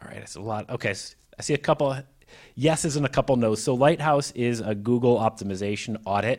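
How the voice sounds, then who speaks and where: Here a man talks with a General American accent in an ordinary speaking voice. His pace is fairly quick, with ordinary pitch variation. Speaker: mobile and web developer, conference speaker. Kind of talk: technical presentation with Q&A. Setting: live room with audience.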